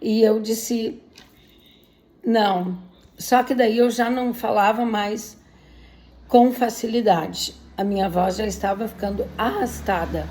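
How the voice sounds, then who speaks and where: Very slowly and with long, frequent pauses, a woman speaks at a fairly high pitch with vocal fry and fairly even intonation. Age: 60s. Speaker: patient sharing illness story. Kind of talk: personal testimony. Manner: emotional.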